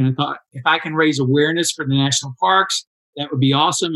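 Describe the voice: Speaking at a fairly quick pace, a man uses a fairly high pitch, a fairly bright tone and fairly even intonation.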